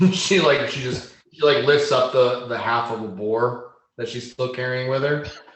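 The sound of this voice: Simply an unforced reading voice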